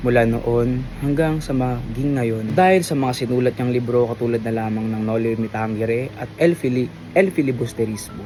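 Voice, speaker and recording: Noticeable background noise behind a man at a moderate pace, medium in pitch with ordinary pitch variation. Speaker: student interviewer. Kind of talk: interview; recorded reflection.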